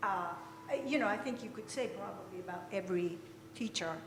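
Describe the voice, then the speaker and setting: In a room with audible echo and noticeable background noise, a woman talks in a medium pitch with lively intonation. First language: not English. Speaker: retired professor, panelist. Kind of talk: panel discussion.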